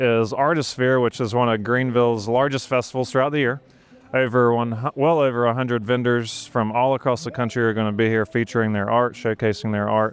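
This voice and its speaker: A man with an American accent, medium pitch, fairly even intonation and a moderate pace. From South Carolina, Saluda (middle of the state). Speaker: real estate agent and video host. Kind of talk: street interviews. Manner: little mouth movement.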